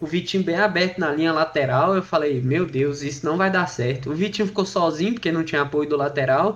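Male speech, fairly quick in tempo, its pitch varying an ordinary amount. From Goiás, Brazil. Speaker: podcast host, football fan. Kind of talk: casual football chat.

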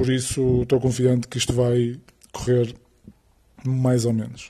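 In a northern Portuguese accent, a man talks at a fairly slow pace and medium pitch, his tone dark, mellow and somewhat breathy. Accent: northern Portuguese (Porto), b for v. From Portugal, Porto. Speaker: personal trainer, podcaster. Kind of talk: podcast monologue. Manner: hesitant, many fillers and repetitions.

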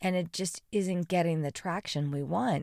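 On a very clean recording with a silent background, a woman talks in a normal speaking voice. Her fairly low pitch has fairly even intonation, at a moderate pace. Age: 40s. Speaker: motivational vlogger. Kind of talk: motivational monologue.

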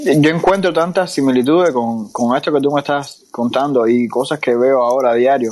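A normal speaking voice from a man, fairly high-pitched, at a moderate pace with hardly any pauses, ordinary pitch variation and very even loudness. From Cuba. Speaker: podcast host. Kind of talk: casual interview. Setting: online audio room.

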